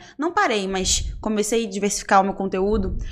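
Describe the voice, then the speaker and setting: A woman with a Rio de Janeiro accent speaks at a medium pitch. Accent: carioca. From Rio de Janeiro, Brazil. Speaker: influencer. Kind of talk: casual chat.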